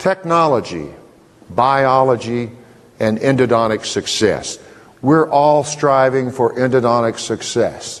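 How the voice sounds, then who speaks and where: A plain, everyday voice from a man, medium in pitch, with ordinary pitch variation at a fairly slow pace. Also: very even loudness. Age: 60s. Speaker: dental lecturer. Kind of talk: lecture.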